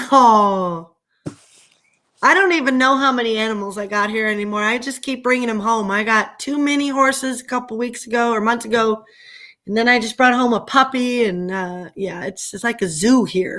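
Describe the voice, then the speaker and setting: A loud woman with an American accent, a fairly high pitch and a bright, sharp tone, on a very clean recording with a silent background. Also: ordinary pitch variation, moderate pace. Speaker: livestreamer. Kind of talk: casual chat. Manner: animated.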